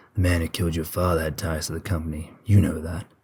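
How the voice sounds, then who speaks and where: In a put-on character voice, a man speaks very fast in a raspy, gruff, very deep, low pitch with monotone, flat intonation. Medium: read story.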